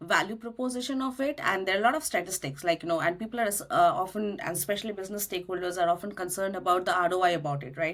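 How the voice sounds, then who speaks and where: A woman with a Bengali accent speaks at a very fast pace in a medium-pitched voice. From India, Kolkata (Bengali). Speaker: cloud solution architect. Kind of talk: podcast interview.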